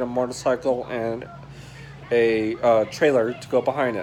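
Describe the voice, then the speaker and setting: A man speaks with monotone, flat intonation. Light background noise sits behind him. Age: 20s. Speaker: YouTuber. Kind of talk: personal vlog monologue. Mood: earnest, personal, reflective. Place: home room. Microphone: phone near.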